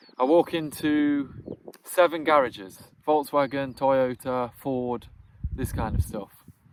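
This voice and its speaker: A man with a British accent, at a fairly slow pace. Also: fairly high pitch for a man, ordinary pitch variation. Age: 30s. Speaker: vlogger and entrepreneur. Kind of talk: casual talk to camera.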